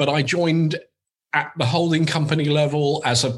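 Talking at a fairly quick pace, a man sounds somewhat breathy. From Uganda and UK. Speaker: agency CEO, executive. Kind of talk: interview, casual chat.

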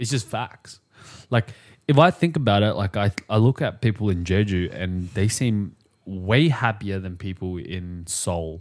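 With lively intonation, a man speaks fairly slowly in a fairly low pitch, captured in a very clean recording with a silent background. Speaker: podcast co-host. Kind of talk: casual chat. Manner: playful, jokey.

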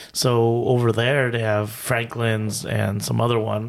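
In a very clean recording with a silent background, a man with an ordinary speaking voice talks at a medium pitch and a moderate pace. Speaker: podcast co-host. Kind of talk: casual chat.

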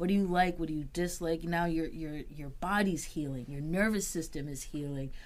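A woman with a Boston accent, moderate pace, fairly even intonation and hardly any pauses. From Boston, Massachusetts. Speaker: certified peer specialist supervisor, in recovery. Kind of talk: interview, personal testimony.

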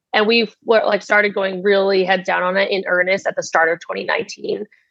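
Speaking with an American accent, a woman keeps a medium pitch. Her pace is fairly slow and her intonation fairly even. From United States (Vietnamese American family). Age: 20s. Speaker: startup founder and CEO. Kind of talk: interview.

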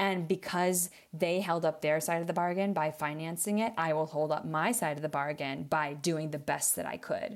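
In a very clean recording with a silent background, a woman with a plain, everyday voice, a fairly low pitch and an American accent speaks at a moderate pace with fairly even intonation and hardly any pauses. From US Midwest, small-town Wisconsin. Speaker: theater maker and producer. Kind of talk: casual interview chat.

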